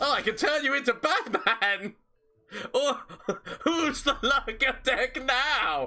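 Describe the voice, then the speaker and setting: A man speaks in a raised, projected voice with an extremely high pitch, lively intonation and very even loudness, at a very slow pace broken by long, frequent pauses. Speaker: gaming streamer. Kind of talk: live gameplay commentary.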